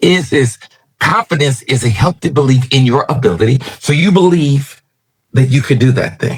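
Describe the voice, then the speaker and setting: A man with a medium pitch talks at a moderate pace in a somewhat breathy voice. His intonation is lively and his loudness very even. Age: 60s. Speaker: preacher. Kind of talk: sermon. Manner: animated.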